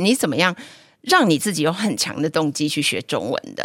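A woman with a plain, everyday voice speaks with lively intonation at a fairly low pitch, recorded very cleanly with a dry, close sound, no echo and a silent background. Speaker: teacher and podcast host. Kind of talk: casual chat.

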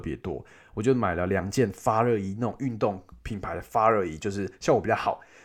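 Talking at a fairly quick pace, a man with a Taiwanese accent speaks at a fairly low pitch in a very clean recording with a silent background. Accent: Taiwanese Mandarin. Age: 20s. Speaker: travel podcast host. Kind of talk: casual travel storytelling monologue. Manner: animated.

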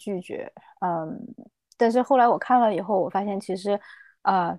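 A woman talks at a moderate pace with a medium pitch and ordinary pitch variation. Her tone is dark and mellow, and the background is quiet. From China, Chengdu, Sichuan. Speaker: health improvement practitioner and skydiver. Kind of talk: interview. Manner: hesitant, many fillers.

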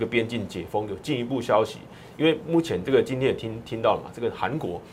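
A man rattles off his words at a very fast pace, his pitch varying in an ordinary way, while noticeable background noise carries on. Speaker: stock market analyst. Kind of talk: market analysis in a talk show. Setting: radio studio.

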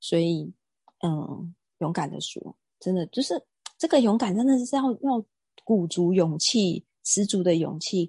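A woman's somewhat breathy voice, dark and mellow in tone and medium in pitch, moves with lively intonation and long, frequent pauses, the sound dry and close with no echo over a quiet background. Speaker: real estate agent and wellness lecturer. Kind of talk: casual interview.

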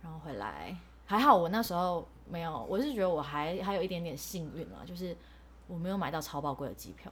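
A woman with a Taiwanese accent speaks at a fairly quick pace with a fairly low pitch and lively intonation. Her voice has vocal fry, and there is audible room echo. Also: big swings in loudness. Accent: Taiwanese Mandarin. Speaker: podcast co-host, former overseas student. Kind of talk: casual chat. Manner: animated.

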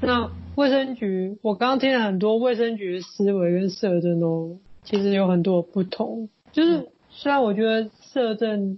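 Somewhat breathy, a woman speaks at a fairly slow pace and medium pitch, with ordinary pitch variation and very even loudness. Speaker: podcast host, social worker. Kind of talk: interview.

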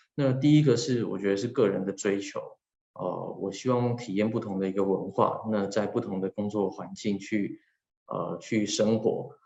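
The man's voice is fairly low with a dark, mellow tone. His pitch moves in an ordinary way. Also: moderate pace. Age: 30s. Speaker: HR manager working abroad. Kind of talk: personal talk. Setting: video call.

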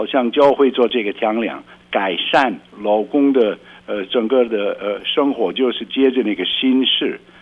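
A man speaks at a medium pitch. There is noticeable noise in the background. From rural Belgium. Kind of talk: radio interview.

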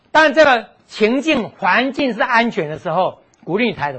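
In an animated tone, a man speaks at a high pitch with very wide pitch swings. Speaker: physical therapist giving health lecture. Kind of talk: lecture. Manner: animated, frequent fillers.

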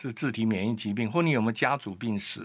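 A man's ordinary speaking voice, medium in pitch with ordinary pitch variation, on a very clean recording with a silent background. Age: 60s. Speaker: immunology researcher and doctor. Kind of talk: expert interview.

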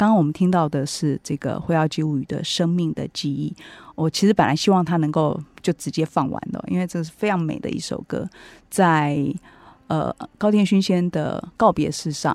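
A woman with a Taiwanese accent and fairly low pitch, at a moderate pace with long, frequent pauses and ordinary pitch variation, in a very clean recording with a silent background and a dry, close sound with no echo. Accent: Taiwanese Mandarin. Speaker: radio host and book editor. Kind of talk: book review talk. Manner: frequent fillers and hesitations.

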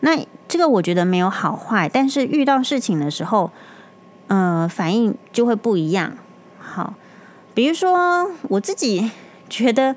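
A woman speaks at a fairly slow pace in a fairly high pitch, with very wide pitch swings. Noticeable background noise runs underneath. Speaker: doctor podcast host. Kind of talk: casual monologue. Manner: calmer than usual.

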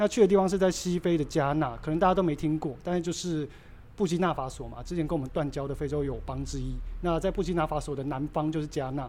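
Speaking at a very fast pace, the man has a fairly high pitch and ordinary pitch variation. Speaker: craft brewery co-founder. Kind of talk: casual interview.

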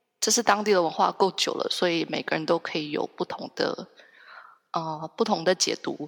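A woman with a Taiwanese accent at a moderate pace, the sound dry and close with no echo. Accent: Taiwanese Mandarin. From Taiwan, Hsinchu. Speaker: copywriter, Ireland culture enthusiast. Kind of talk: casual interview chat. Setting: long-distance online call. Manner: hesitant, many fillers.

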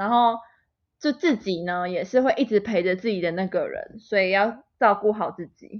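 A woman's fairly high voice at a moderate pace, with ordinary pitch variation and a normal speaking voice. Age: 20s. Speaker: podcast co-host. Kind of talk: casual chat. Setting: remote recording.

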